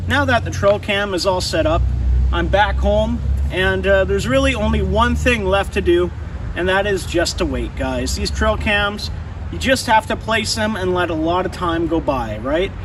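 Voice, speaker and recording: Noticeable background noise and audible room echo around a man at a moderate pace. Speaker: fishing and wildlife youtuber. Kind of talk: vlog narration.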